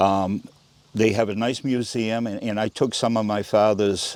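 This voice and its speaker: A man with an American accent speaks at fairly low pitch in a monotone, flat intonation. His pace is fairly slow. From Maine, US (Round Pond). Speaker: oral history interviewee. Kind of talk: interview. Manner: halting, with repetitions.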